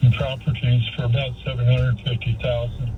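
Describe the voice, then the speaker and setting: A man talks with medium pitch. Audible room echo and noticeable background noise surround his voice. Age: 80s+. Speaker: caller, real estate investor. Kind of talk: phone call-in question.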